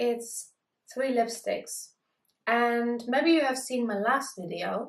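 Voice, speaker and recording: A woman with a German accent speaks very slowly at a high pitch. Her intonation stays fairly even. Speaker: beauty vlogger. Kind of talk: product review vlog.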